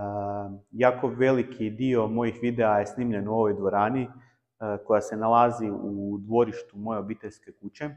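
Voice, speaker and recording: A man with a medium-pitched voice talks at a moderate pace, his intonation monotone and flat. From Croatia. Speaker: table tennis YouTuber. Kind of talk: personal vlog talk. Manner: halting with many filler sounds.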